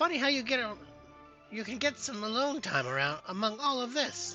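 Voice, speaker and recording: Over clear music in the background, a put-on character voice speaks at a moderate pace with a fairly high pitch. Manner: wry, calm, unhurried.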